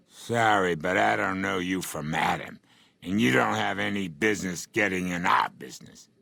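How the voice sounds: A man puts on a gravelly character voice with a very deep, low pitch. His intonation is lively and his pace is moderate.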